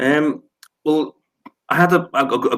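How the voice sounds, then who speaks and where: A man speaks with a British accent. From UK. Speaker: leadership author and course creator. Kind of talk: interview. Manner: halting, many repetitions.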